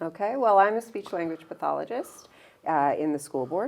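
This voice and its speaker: A woman is speaking. She has a Newfoundland accent. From Newfoundland, St. John's. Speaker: speech language pathologist. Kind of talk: interview conversation.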